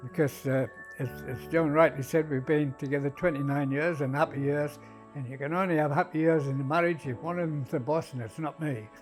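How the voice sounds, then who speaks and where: A man with a fairly high voice speaks at a fairly quick pace in a fairly even intonation, with music playing in the background. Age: 80s. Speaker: heart valve patient, golfer. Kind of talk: interview answer.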